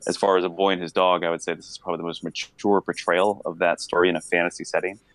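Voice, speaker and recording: The speech is very fast and monotone, with flat intonation and big swings in loudness, in a dry, close sound with no echo. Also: man, very deep, low pitch for a man. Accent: American. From US Northeast, Lancaster, Pennsylvania. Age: 30s. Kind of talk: casual chat. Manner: hesitant, many fillers.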